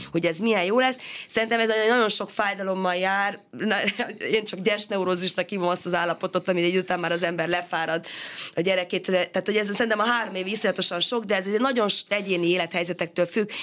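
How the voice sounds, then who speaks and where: With fairly even intonation, a woman speaks at a very fast pace. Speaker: education researcher and sociologist. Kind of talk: radio interview.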